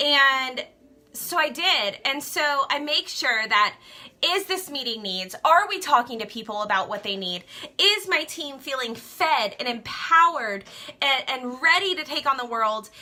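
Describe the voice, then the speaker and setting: A woman with an American accent uses a raised, projected voice, high-pitched and animated, with very wide pitch swings at a fairly slow pace. Noticeable background noise runs underneath. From Louisiana. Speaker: direct sales skincare seller. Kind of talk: Facebook live talk.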